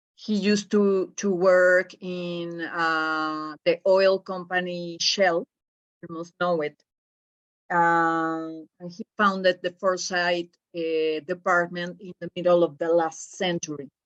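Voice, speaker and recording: Speaking with a strong Spanish accent, a woman with fairly low pitch talks at a very slow pace in a monotone, flat intonation. Her loudness swings widely, and the sound is dry and close with no echo. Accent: Spanish accent, self-described as strong. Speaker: professor. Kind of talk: lecture. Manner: halting.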